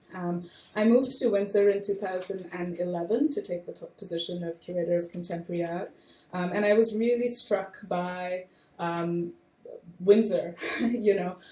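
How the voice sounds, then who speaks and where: Over noticeable background noise, a woman talks at a medium pitch. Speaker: curator. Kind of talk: panel discussion. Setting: stage with audience.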